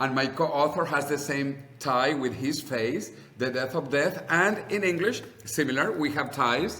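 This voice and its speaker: A man with a fairly high pitch speaks in an animated tone at very even loudness, with audible room echo and noticeable background noise. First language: Spanish. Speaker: longevity advocate and author. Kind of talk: interview conversation.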